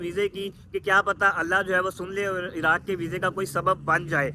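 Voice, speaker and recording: Over noticeable background noise, a man uses a raised, projected voice at a moderate pace. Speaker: travel vlogger. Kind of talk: casual vlog chat. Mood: resigned but hopeful. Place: street. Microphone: phone near.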